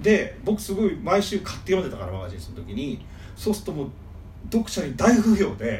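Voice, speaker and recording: A man talking at a fairly quick pace, with big swings in loudness. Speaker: manga fan guest. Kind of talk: casual chat.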